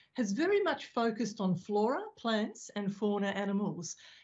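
There's a somewhat breathy quality to this woman's voice. The background is quiet. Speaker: speaker. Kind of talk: lecture. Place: home room. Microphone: video call.

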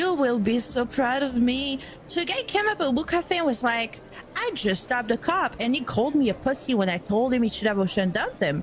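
Pitch swings very widely at a fairly quick pace while loudness stays very even, with noticeable background noise behind it. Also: woman, high pitch for a woman. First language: French. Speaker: roleplay game streamer. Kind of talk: in-character roleplay banter. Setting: online game voice chat.

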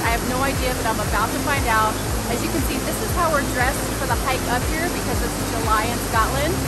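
A woman speaks with an American accent at a fairly quick pace. Loud background noise fills the recording. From Seattle, Washington, USA. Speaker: travel vlogger. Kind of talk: casual talk to camera. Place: waterside. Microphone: phone near.

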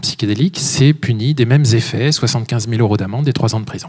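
In a quiet background, a man with a dark, mellow tone and a somewhat breathy, medium-pitched voice speaks at a moderate pace with ordinary pitch variation. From France. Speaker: author and speaker; speaker. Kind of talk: lecture; Q&A answers. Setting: stage with audience. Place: hall. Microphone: handheld.

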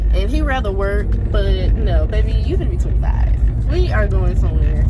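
Music behind a woman's speech. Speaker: vlogger. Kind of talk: casual vlog chat. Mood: relaxed, chatty, laughing. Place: car. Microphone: phone near.

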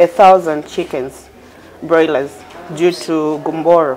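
Woman's voice with ordinary pitch variation and light background noise. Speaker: interviewee. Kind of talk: interview answer. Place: studio.

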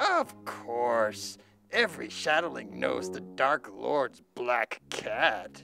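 Over faint music in the background, a put-on character voice speaks at a very slow pace and a low pitch. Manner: broken, old-fashioned speech.

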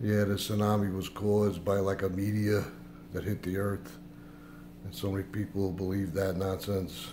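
Somewhat breathy speech comes at a fairly slow pace over light background noise. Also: man. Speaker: vlogger. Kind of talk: casual vlog chat. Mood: suspicious, earnest. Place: kitchen. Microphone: phone near.

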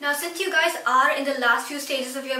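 A raised, projected female voice with ordinary pitch variation and audible room echo. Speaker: student educational youtuber. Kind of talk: tutorial. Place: home room.

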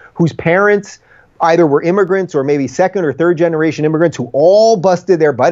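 A man's high-pitched voice at a very fast pace, with ordinary pitch variation and a quiet background. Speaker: remote interview guest. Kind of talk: interview answer. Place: home room. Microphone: video call.

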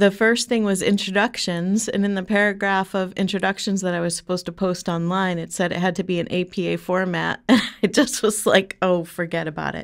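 A woman talks at a fairly quick pace with hardly any pauses. Her intonation stays fairly even against a quiet background. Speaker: podcast co-host, grad student. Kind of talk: casual podcast banter. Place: studio. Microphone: studio mic.

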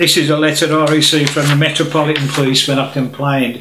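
A man speaks in a monotone with flat intonation, and room echo is audible. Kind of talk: direct-to-camera appeal. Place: home room.

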